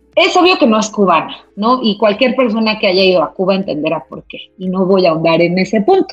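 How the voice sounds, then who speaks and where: A woman with a medium pitch speaks fairly quickly, with lively intonation and hardly any pauses. Her loudness swings widely, and music plays in the background. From Mexico, Toluca. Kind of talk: casual chat.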